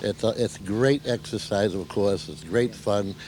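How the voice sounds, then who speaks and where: A man pitched fairly low talks at a moderate tempo with ordinary pitch variation, noticeable background noise behind him. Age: 60s. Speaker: senior softball player. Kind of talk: interview.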